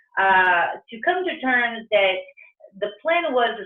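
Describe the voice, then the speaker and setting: A woman speaks with a Brazilian Portuguese accent. Her intonation is lively. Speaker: entrepreneur, restaurant founder. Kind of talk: career talk interview. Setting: video call. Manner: halting, many fillers and restarts.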